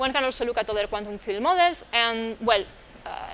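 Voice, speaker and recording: A woman speaks at a fairly quick pace with lively intonation and a fairly high pitch. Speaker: physicist, invited colloquium speaker. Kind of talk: lecture. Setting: institute colloquium with audience. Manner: fast; halting, many fillers.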